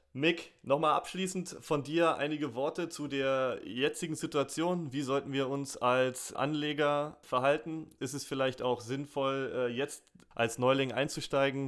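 A man with an unremarkable speaking voice talks at a fairly high pitch with fairly even intonation. The recording is very clean, with a silent background. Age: 30s. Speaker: podcast host. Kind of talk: interview.

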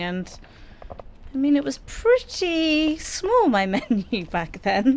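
A woman speaks with a London accent. Noticeable background noise can be heard. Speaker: chef and restaurant co-owner. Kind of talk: casual chat. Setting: outdoor canal-side kiosk.

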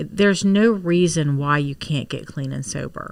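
Recorded very cleanly with a silent background, a woman with an American accent and an ordinary speaking voice talks fairly slowly, her fairly low pitch showing ordinary variation. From Maryland Eastern Shore. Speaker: small business owner. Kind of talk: interview.

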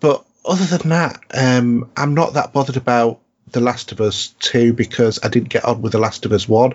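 At a moderate pace, a man with a Yorkshire accent speaks at a medium pitch with ordinary pitch variation. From North Yorkshire, England. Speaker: podcast host. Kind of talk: casual chat.

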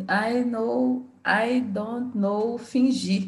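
In a Brazilian accent, a woman speaks with a somewhat breathy voice and ordinary pitch variation. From Belo Horizonte, Brazil. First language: Portuguese. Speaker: English learner. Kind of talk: casual conversation practice. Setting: video call. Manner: halting, mixes Portuguese words.

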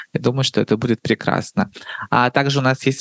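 A woman speaks against a quiet background. The sound is dry and close, with no echo. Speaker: podcast host. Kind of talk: podcast interview. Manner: warm, playful.

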